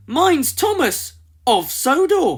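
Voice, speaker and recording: Extremely high-pitched put-on character voice from a man. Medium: read story. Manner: eager, cheerful.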